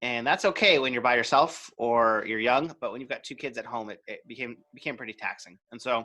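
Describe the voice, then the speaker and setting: A man with a Canadian accent speaks fairly quickly at a medium pitch, with ordinary pitch variation, big swings in loudness and a bright, sharp tone. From Canada. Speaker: video marketing coach. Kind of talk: interview.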